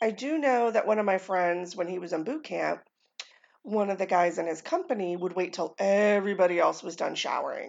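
This woman has an unremarkable speaking voice with an American accent and medium pitch. She talks fairly quickly with lively intonation. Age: 40s. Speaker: podcast host. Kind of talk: casual monologue.

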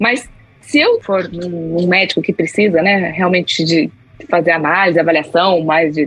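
Over music in the background, a woman speaks at a fairly low pitch with ordinary pitch variation and very even loudness. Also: moderate pace. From Brazil, interior of São Paulo state. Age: 40s. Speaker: customer experience professional. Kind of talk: interview.

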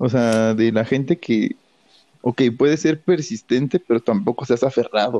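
With a dark, mellow tone, a man talks at a moderate pace in a dry, close sound with no echo. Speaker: podcast co-host. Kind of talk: casual chat.

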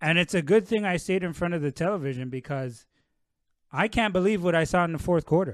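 Talking at a very fast pace, a man with a Canadian accent and a high pitch uses ordinary pitch variation against a quiet background. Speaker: basketball analyst. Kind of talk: casual interview. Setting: outdoors in backyard.

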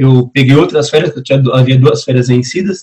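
Somewhat breathy male voice at a medium pitch, dark and mellow in tone. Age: 30s. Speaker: entrepreneur and consultant. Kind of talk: casual chat.

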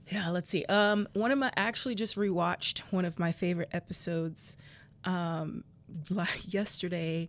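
A woman with an American accent and a plain, everyday voice, medium in pitch with ordinary variation, very even in loudness, at a moderate pace, on a very clean recording with a silent background. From South Florida. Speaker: film fan guest. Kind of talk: casual chat. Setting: massage therapy office.

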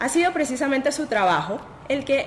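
A woman speaks with a high pitch. There is noticeable background noise. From Venezuela. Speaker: podcast host. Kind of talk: interview.

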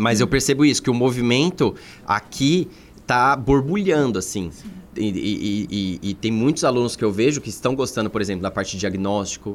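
Medium in pitch, a man speaks at a moderate pace with lively intonation. He has a normal speaking voice. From São Paulo metro area (São Bernardo do Campo). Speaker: veterinary surgeon and course coordinator. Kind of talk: casual podcast interview.

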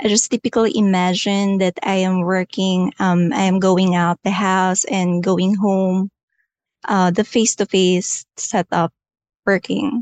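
At a very slow pace, a woman speaks at a medium pitch with fairly even intonation. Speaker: payroll staff. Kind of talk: interview.

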